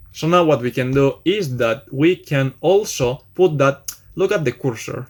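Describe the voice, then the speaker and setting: A man speaks in a Spanish accent. His pitch varies in an ordinary way. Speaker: programming tutor. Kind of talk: tutorial. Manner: casual, hesitant with fillers.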